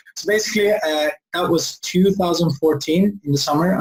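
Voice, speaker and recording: A somewhat breathy man with a Swedish accent speaks at a moderate pace with ordinary pitch variation. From Sweden. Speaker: entrepreneur. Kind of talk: interview.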